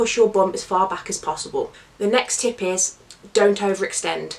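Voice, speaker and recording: A woman talks at a medium pitch amid noticeable background noise. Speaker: fitness coach. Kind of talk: tutorial talk to camera.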